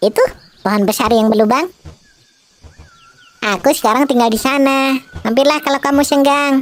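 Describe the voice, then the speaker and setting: Using a cartoonish character voice, a woman speaks in a high pitch with a cheerful tone at a moderate pace, leaving long, frequent pauses. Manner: chirpy, cheerful.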